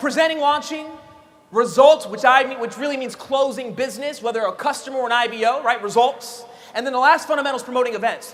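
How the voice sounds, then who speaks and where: Over noticeable background noise, the speaker talks at a very fast pace in an animated tone. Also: man, extremely high pitch for a man. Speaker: network marketing trainer. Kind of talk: motivational training talk.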